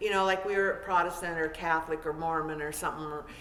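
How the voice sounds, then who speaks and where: A woman speaks at a very fast pace. There is noticeable background noise and audible room echo. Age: 60s. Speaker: novelist. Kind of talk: Q&A after book reading. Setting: event with audience. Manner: halting; casual.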